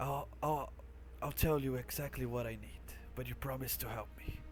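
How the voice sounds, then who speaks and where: A man performs in a put-on character voice. Clear background noise runs underneath. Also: moderate pace. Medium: actual play. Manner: quiet, bargaining.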